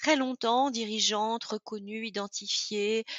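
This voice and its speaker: A woman speaks with a fairly high pitch. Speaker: author and former executive. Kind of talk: interview. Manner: halting, many fillers.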